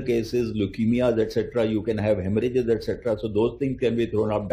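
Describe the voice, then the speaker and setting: A man speaks at a moderate pace in a dark, mellow tone. His voice is somewhat breathy. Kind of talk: interview answer. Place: office. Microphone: handheld.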